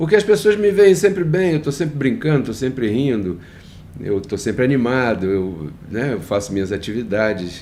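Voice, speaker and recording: At a moderate pace, a man with a medium pitch and a dark, mellow tone makes very wide pitch swings. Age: 60s. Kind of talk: devotional talk. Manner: hesitant, repeats words.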